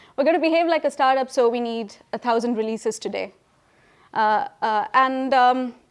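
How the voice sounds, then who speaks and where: On a very clean recording with a silent background, a woman speaks high in pitch with lively intonation. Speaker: technology consultant. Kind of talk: conference talk. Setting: stage with audience. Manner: fast.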